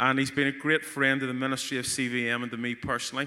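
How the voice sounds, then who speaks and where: Fairly high-pitched male voice, an ordinary speaking voice, moderate in pace. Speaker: conference host. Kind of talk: stage introduction.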